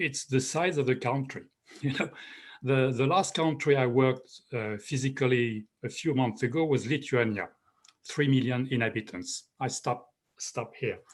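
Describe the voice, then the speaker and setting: At a fairly slow pace, a man talks in a French accent with ordinary pitch variation. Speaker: professor, rental housing expert. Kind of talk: panel discussion. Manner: halting.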